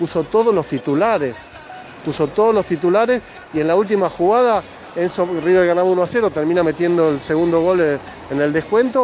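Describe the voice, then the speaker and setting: With music in the background, a man in a Rioplatense accent speaks at a moderate pace in a high pitch, with ordinary pitch variation and very even loudness. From Argentina. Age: 50s. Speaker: football journalist. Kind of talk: interview.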